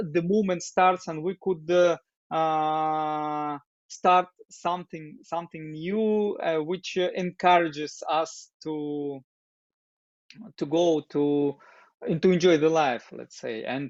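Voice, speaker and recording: This man has a Russian accent and a fairly high pitch. He speaks at a fairly slow pace with fairly even intonation. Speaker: doctor and open dialogue group facilitator. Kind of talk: interview. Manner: halting, many fillers.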